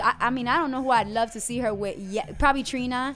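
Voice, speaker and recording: Music plays in the background as a woman speaks very fast in a high pitch with ordinary pitch variation. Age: 20s. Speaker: podcast co-host. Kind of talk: casual chat.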